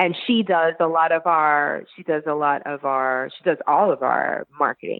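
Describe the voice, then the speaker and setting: Someone with a New York accent speaks at a fairly slow pace with ordinary pitch variation. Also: woman. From Brooklyn, New York. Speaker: chef and former teacher. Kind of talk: interview answer.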